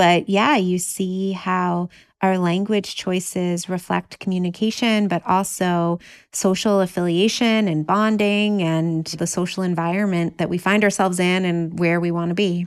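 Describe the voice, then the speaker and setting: A woman with an ordinary speaking voice talks at a fairly slow pace, her medium pitch and fairly even intonation captured in a very clean recording with a silent background. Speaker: professor of psychology. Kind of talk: interview.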